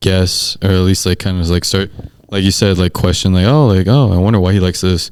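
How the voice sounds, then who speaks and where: Talking at a fairly quick pace, a man uses a very deep, low pitch and keeps his loudness very even. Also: fairly even intonation. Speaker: sports photographer. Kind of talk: podcast interview. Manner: monotone.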